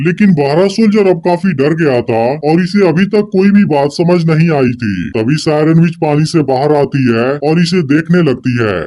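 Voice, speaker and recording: A fairly high-pitched man at a moderate pace, very even loudness, light background noise. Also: hardly any pauses. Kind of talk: YouTube movie-recap narration. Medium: solo performance. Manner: continuous, suspense-building.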